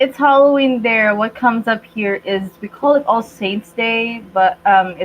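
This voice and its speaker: A woman's intonation is lively, though noticeable background noise runs underneath. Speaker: youtuber, livestream co-host. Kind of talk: casual chat.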